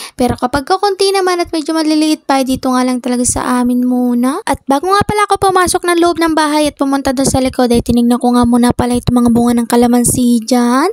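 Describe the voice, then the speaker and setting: A woman's high-pitched voice at a very fast pace, with lively intonation, very even loudness and hardly any pauses. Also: dry, close sound with no echo. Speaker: vlogger. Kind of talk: daily life vlog narration.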